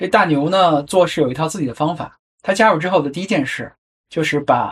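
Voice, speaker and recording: A man with a plain, everyday voice speaks at a fairly high pitch and fairly quick pace, with ordinary pitch variation. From China. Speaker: podcast host. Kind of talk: solo narrative podcast.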